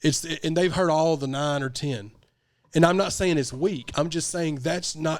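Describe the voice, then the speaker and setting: In an animated tone, a man with a Southern US accent talks at a moderate pace. His pitch is fairly high with ordinary variation, on a very clean recording with a silent background. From US South. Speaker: podcast host and rapper. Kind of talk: casual chat.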